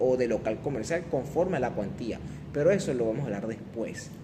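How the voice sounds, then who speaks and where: Room echo is audible. The man's intonation is lively. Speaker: law lecturer. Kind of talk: lecture.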